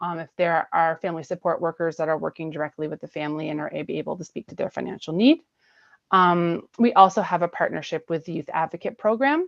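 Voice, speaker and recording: At a fairly quick pace, a woman speaks in a fairly low pitch with ordinary pitch variation. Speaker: municipal staff presenter. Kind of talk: committee meeting presentation. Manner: fast.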